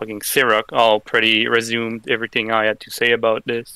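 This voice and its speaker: A man with a non-native accent speaks at medium pitch and a moderate pace in a bright, sharp tone. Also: dry, close sound with no echo. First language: not English. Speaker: online gaming community member. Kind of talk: round table discussion. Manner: halting.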